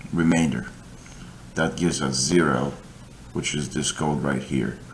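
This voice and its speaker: There is audible room echo as a man with a very deep, low pitch and vocal fry talks at a fairly slow pace. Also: fairly even intonation. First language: not English. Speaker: coding tutor. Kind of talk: tutorial. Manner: halting.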